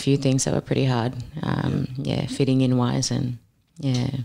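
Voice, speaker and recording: A woman's very deep, low voice at a moderate pace. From Papua New Guinea, Milne Bay. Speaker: boxer and personal trainer. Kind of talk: podcast interview.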